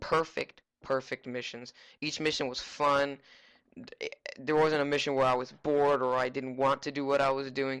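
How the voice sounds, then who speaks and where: The pace is moderate. The recording is very clean with a silent background. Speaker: gameplay reviewer. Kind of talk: casual gameplay commentary. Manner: soft-spoken.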